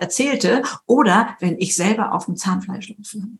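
A woman's energetic, bright, sharp voice at a moderate pace. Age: 70s. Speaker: speaker and author. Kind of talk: interview.

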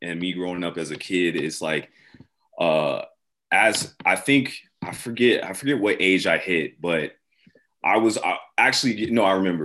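With an American accent, a man talks at a fairly slow pace in a very deep, low pitch. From US Pacific Northwest. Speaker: clothing brand founder. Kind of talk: casual interview.

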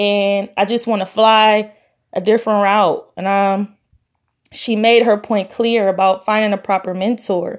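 A woman with an American accent speaks at medium pitch and a fairly slow pace. Her intonation is monotone and flat, with a quiet background. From US, Los Angeles area (Compton). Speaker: podcast host. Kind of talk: solo motivational podcast talk.

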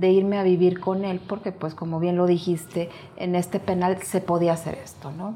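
A woman with a fairly low pitch talks at a moderate pace in a somewhat breathy voice. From Mexico. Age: 50s. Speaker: motivational speaker and author. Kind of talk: interview testimony.

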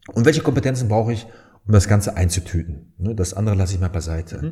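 A man's somewhat breathy voice has a dark, mellow tone. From Germany, Dortmund (Ruhr area). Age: 30s. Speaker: founder and sales trainer. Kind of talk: casual interview.

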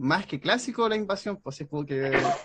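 A man speaks with a Chilean accent. His intonation is lively. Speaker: wrestling and anime content creator. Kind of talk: casual chat.

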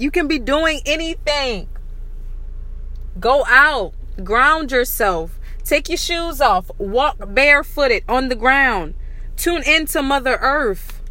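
Slow in pace, a woman speaks at a high pitch with lively intonation.

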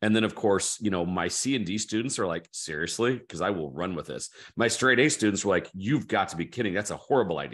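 Over a quiet background, a man talks very fast at a fairly low pitch, with lively intonation and hardly any pauses. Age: 50s. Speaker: author and education entrepreneur. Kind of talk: casual interview conversation.

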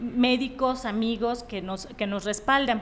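A woman's high voice at a very slow pace, with fairly even intonation and audible room echo. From Mexico, Tepic, Nayarit. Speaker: medical doctor. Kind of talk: interview.

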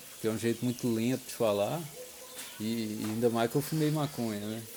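This man's pitch shifts in an ordinary way over noticeable background noise. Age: 30s. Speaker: church member giving testimony. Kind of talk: personal reflection monologue. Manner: slow; halting.

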